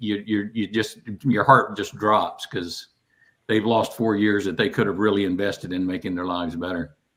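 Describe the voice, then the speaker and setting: With a Southern US accent, a man speaks at a moderate pace in fairly even intonation. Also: very clean recording, silent background. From US South. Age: 60s. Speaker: guest with Parkinson's disease. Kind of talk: casual chat.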